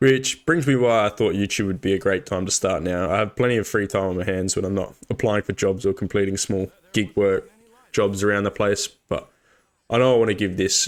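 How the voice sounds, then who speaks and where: In a very clean recording with a silent background, a man with an Australian accent talks at a fairly quick pace with a fairly low pitch and fairly even intonation. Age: 20s. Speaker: gaming YouTuber. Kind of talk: casual vlog talk.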